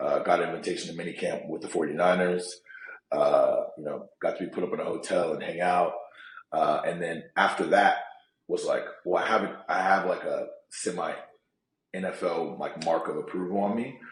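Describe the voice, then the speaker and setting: Audible room echo surrounds this recording. A man with an American accent talks at a moderate pace. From California Bay Area. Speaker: sales professional and former pro football player. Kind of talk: interview. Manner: casual, many fillers and repetitions.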